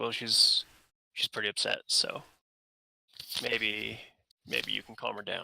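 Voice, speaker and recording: A man uses a raspy, put-on character voice at a fairly slow pace, with long, frequent pauses. The sound is dry and close, with no echo. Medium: actual play. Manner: terse, suspicious.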